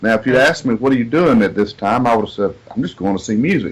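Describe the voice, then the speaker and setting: Lively intonation marks a man talking with a Southern US accent. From US South, south Georgia. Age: 40s. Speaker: singer-songwriter. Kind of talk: interview.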